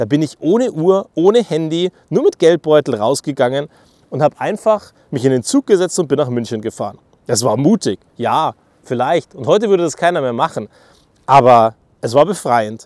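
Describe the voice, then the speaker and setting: An animated man's fairly high voice at a moderate pace, with very wide pitch swings and a dry, close sound free of echo. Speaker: podcaster. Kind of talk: monologue.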